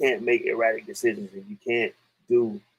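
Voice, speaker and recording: A medium-pitched man at a moderate pace, with very wide pitch swings. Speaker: podcast host. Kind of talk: casual live-stream commentary.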